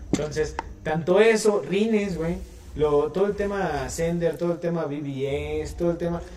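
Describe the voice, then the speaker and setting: A man's high voice at a fairly slow pace with ordinary pitch variation, amid noticeable background noise. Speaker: car enthusiast co-host. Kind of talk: casual chat.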